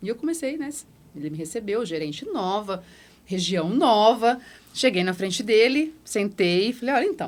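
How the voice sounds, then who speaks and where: A woman speaks at a moderate pace in a strong São Paulo interior accent. Her pitch swings very widely. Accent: strong inland São Paulo. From interior of São Paulo state, Brazil. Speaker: former bank manager, entrepreneur. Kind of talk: podcast interview, personal storytelling. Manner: animated.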